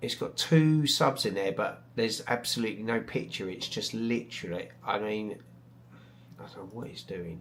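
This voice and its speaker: In a British accent, the speaker keeps a moderate pace and ordinary pitch variation while the loudness swings widely. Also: man, fairly low pitch for a man. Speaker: astrophotography YouTuber. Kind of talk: live stream chat. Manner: hesitant, many fillers; mumbling.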